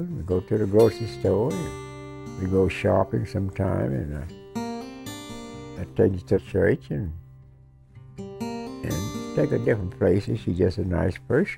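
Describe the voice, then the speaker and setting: A man's very deep, low voice in an American accent, at a moderate pace with long, frequent pauses, over music in the background. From United States. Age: 80s+. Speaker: war veteran. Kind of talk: documentary interview answer.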